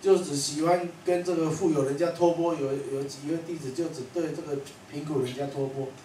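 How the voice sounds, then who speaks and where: Amid audible room echo and light background noise, a man speaks at a high pitch. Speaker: monastic teacher. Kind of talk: sermon. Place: classroom.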